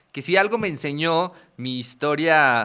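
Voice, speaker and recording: Speaking very slowly with a Mexican accent, a man uses a bright, sharp tone at a fairly high pitch, captured in a very clean recording with a silent background. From Mexico. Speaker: podcast host. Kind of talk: interview.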